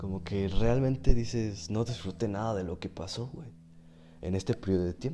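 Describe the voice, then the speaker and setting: The speaker is a man with a Mexican accent. His voice has a dark, mellow tone. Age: 20s. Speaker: podcaster and streamer. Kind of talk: casual monologue.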